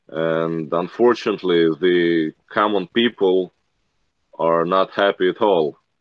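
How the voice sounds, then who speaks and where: Speaking very slowly in a very deep, low voice, a man with a Russian accent keeps his loudness very even and his intonation fairly even. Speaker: military medic. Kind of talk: interview. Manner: frequent laughter.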